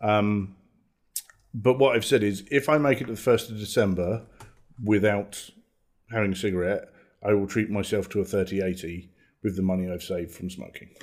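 Over a silent background in a very clean recording, a man with a fairly low voice speaks at a fairly quick pace with ordinary pitch variation, leaving long, frequent pauses. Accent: British. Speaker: podcast host. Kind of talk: casual chat.

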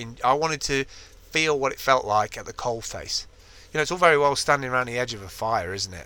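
With big swings in loudness, a man speaks very fast in a bright, sharp tone at a medium pitch. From Ireland. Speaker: podcast co-host. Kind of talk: casual chat. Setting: in a van.

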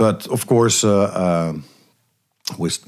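This man speaks with a Dutch accent and ordinary pitch variation. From eastern Netherlands. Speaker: jazz bassist and pianist. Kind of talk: interview. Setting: studio. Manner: halting.

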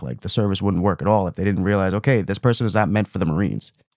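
A man speaks at a fairly low pitch. The sound is dry and close with no echo, on a very clean recording with a silent background. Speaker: movie podcast co-host. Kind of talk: casual chat. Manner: soft-spoken.

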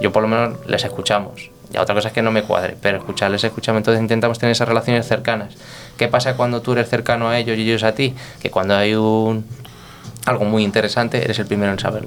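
A man's medium-pitched voice, very fast, monotone and flat, with very even loudness. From Spain, Toledo (Guadamur). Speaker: restaurant director and sommelier. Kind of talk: casual interview. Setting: restaurant.

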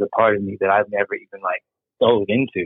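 A man with an American accent, talking at a fairly quick pace. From United States. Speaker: podcast guest. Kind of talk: casual chat.

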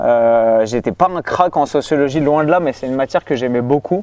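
Dry and close with no echo, the recording captures a man with a fairly high pitch, a dark, mellow tone and ordinary pitch variation. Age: 30s. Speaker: fitness coach and youtuber. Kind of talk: casual chat.

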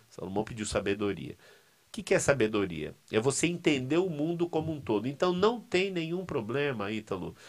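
Over a very clean recording with a silent background, a man speaks fairly quickly at a fairly high pitch, his pitch swinging very widely. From Brazil, São Paulo city. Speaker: seminary professor. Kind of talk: casual interview. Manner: halting, repetitive.

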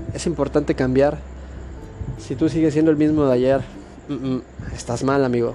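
Music plays behind a man with a fairly high pitch. His intonation stays fairly even. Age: 20s. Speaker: motivational podcaster. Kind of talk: motivational monologue. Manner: casual, halting with repetitions.

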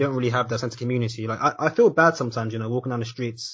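A somewhat breathy man's voice at a very fast pace. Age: 20s. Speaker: podcast host. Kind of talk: casual chat.

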